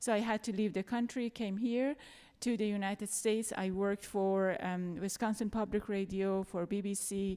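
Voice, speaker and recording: Her tone dark and mellow, a woman with a non-native accent speaks at a moderate pace with fairly even intonation. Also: medium pitch for a woman, very clean recording, silent background. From Iran, Tehran. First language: Farsi. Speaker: journalist and panel facilitator. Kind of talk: post-show panel discussion. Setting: theater stage with audience.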